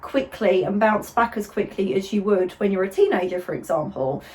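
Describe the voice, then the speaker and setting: With noticeable background noise behind her, a woman at medium pitch speaks at a moderate pace with hardly any pauses. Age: 30s. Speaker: pointe shoe fitter and video host. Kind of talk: casual interview chat.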